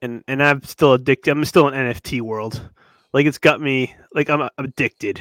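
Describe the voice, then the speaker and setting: On a very clean recording with a silent background and a dry, close sound with no echo, a man with an American accent and a plain, everyday voice talks at a moderate pace and a medium pitch. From Massachusetts (Newburyport area). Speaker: podcast co-host. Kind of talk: casual chat.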